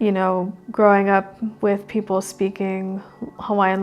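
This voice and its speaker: Music plays in the background behind a woman. She speaks at a medium pitch with monotone, flat intonation. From Oregon and Hawaii. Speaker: Native Hawaiian artist. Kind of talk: casual conversation.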